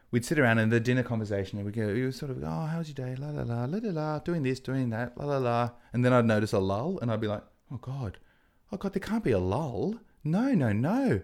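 Lively intonation marks this man's speech. He talks at a fairly quick pace with a medium pitch. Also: very clean recording, silent background. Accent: Australian. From Australia (Adelaide). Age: 30s. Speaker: TV and radio presenter. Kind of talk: casual chat.

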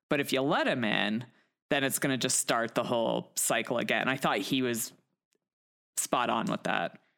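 A woman speaks at a moderate pace in an American accent, her pitch very deep and low, with vocal fry and very even loudness. Long, frequent pauses break up her speech on a very clean recording with a silent background. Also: ordinary pitch variation. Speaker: podcast host. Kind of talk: casual chat.

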